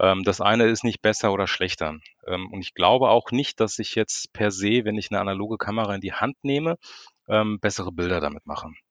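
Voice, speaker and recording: Recorded dry and close with no echo against a quiet background, a man speaks at a fairly quick pace in a fairly low pitch with ordinary pitch variation. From Frankfurt, Germany. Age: 40s. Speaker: street photographer. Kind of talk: casual chat. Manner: hesitant, many filler sounds.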